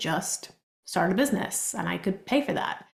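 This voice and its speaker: A somewhat breathy woman talks at a moderate pace. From Argentina. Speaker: business coach. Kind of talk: podcast interview.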